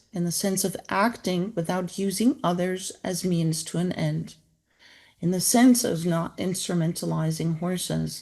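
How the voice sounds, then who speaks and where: The background is quiet. A woman with a dark, mellow tone speaks at a fairly slow pace. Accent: non-native. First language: not English. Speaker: author and equine-assisted therapy practitioner. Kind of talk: book introduction talk. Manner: halting.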